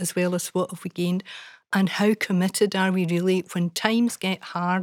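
A woman talks in a normal speaking voice at a medium pitch with ordinary variation. The recording is very clean, with a silent background. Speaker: former children's commissioner and professor. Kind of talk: panel conversation.

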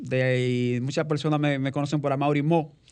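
A man speaks at a moderate pace and a fairly high pitch in an unremarkable speaking voice. The background is quiet. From Dominican Republic, rural countryside. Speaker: artisan coffee-maker and webmaster. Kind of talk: radio interview. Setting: studio.

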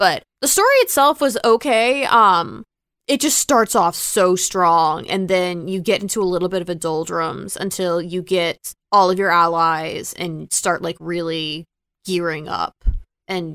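In a plain, everyday voice, a woman with a fairly low pitch and ordinary pitch variation speaks at a fairly slow pace with big swings in loudness, the recording very clean, dry and close with no echo and a silent background. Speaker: tech podcast co-host. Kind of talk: casual chat.

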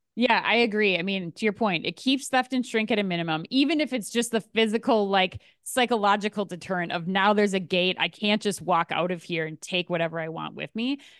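Here is a woman with a normal speaking voice and medium pitch, talking at a fairly quick pace with ordinary pitch variation. The sound is dry and close with no echo, over a quiet background. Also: hardly any pauses. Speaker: podcast host. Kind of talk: casual chat and news roundup.

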